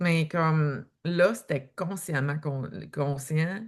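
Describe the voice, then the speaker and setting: Against a quiet background, a woman speaks with a Quebec accent. Her pitch is fairly low. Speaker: author and eating-behaviour coach. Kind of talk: podcast interview.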